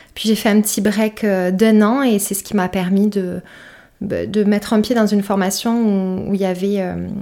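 Over a very clean recording with a silent background, a woman speaks at a fairly slow pace in a dark, mellow tone with monotone, flat intonation. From southern France, Perpignan. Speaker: content creator and podcaster. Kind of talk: casual interview chat.

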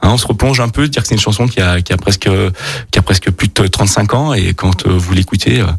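A man talks at a fairly quick pace in a somewhat breathy voice with ordinary pitch variation. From Burgundy, France. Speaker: chef and restaurant owner. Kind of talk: radio interview. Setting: studio. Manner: halting, many repetitions.

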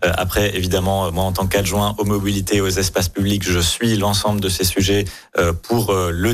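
With music in the background, a man speaks in a fairly low, monotone, flat voice. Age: young. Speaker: city deputy mayor, politician. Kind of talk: radio interview.

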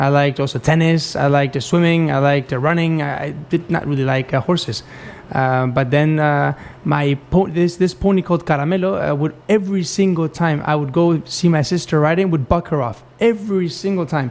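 With ordinary pitch variation, a man keeps a moderate pace as noticeable background noise continues behind him. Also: fairly high pitch for a man. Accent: Spanish. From Spain. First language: Spanish. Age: 20s. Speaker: dressage rider. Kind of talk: interview. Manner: halting.

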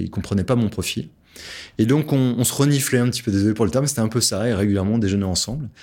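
A man has an ordinary speaking voice, fairly low in pitch with ordinary pitch variation. The recording is very clean, with a silent background. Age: 40s. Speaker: entrepreneur and author. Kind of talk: interview.

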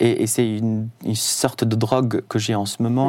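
A man speaks with an Arabic accent. His tone is dark and mellow, and his intonation stays fairly even. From Syria, Damascus. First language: Arabic (speaking French). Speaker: concert violinist. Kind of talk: radio interview. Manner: halting.

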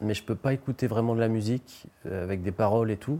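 Medium-pitched male speech with ordinary pitch variation. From western France (Nantes/Anjou area). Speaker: novelist and journalist. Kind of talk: interview. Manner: hesitant, frequent fillers.

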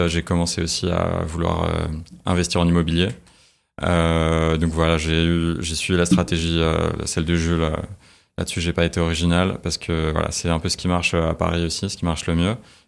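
Very deep and low, a man's voice holds a flat, monotone intonation at a moderate pace. The recording is very clean, with a silent background. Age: 20s. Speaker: finance professional. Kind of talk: interview. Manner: halting.

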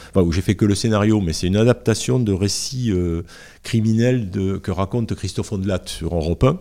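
A man speaks at a fairly quick pace with a fairly low pitch, a dark, mellow tone and ordinary pitch variation. The recording is very clean, with a silent background. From southern France, Garonne valley (Montauban/Toulouse). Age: 60s. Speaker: comic book author. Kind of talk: casual interview chat. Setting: at his home. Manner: hesitant, many fillers and repetitions.

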